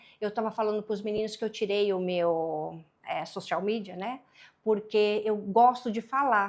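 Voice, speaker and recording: The speaker has a Paraíba accent and ordinary pitch variation. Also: woman. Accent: Northeastern Brazilian (Paraíba). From Brazil, Paraíba (Northeast). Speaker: business mentor and consultant. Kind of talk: podcast interview.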